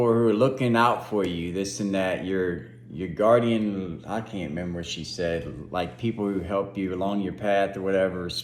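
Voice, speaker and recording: Audible room echo surrounds a man as he talks at a fairly slow pace. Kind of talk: testimony. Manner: animated.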